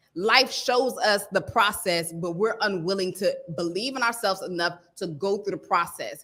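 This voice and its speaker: Loud and animated, a woman speaks in a bright, sharp tone. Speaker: stylist coach. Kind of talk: live stream motivational talk. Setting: livestream.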